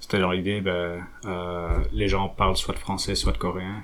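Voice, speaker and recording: Speaking at a fairly slow pace, a man uses a very deep, low voice with fairly even intonation. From Belgium, Flanders (French-speaking family). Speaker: researcher. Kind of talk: interview. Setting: at home. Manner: halting, with many fillers and repetitions.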